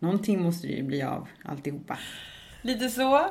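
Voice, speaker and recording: Audible room echo hangs around the voice. A woman speaks at a moderate pace. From Stockholm suburbs, Sweden. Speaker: podcast host. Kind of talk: casual chat.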